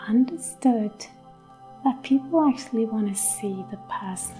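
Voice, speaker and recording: A soft-spoken, calm-toned voice over background music. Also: woman. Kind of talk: ASMR homestead vlog, casual talk to camera. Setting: outdoors in a garden, with ambient nature sounds and quiet background music. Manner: soft-spoken, calm, slow.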